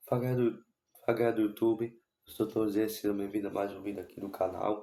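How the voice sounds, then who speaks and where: The tone is dark and mellow, with monotone, flat intonation. The recording is very clean, with a silent background. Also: man. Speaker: football YouTuber. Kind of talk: casual vlog commentary. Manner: not speaking loudly; halting.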